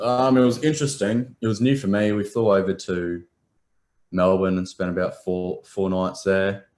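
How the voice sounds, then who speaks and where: A man with an Australian accent, very deep and low in pitch, with ordinary pitch variation, on a very clean recording with a silent background. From Adelaide, South Australia. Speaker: professional footballer. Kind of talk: interview. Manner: halting, many ums.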